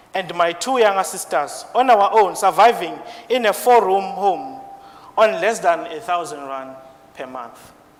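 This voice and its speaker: With noticeable background noise, a man talks fairly slowly in a high pitch with lively intonation. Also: big swings in loudness. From South Africa. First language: not English. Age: 20s. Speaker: IT support engineer. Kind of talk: speech. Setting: stage with audience.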